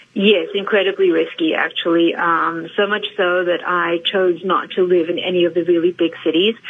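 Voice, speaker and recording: A woman's fairly low voice, fairly even in intonation, at a moderate pace amid noticeable background noise. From South Africa, East London. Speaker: actress. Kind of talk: radio interview.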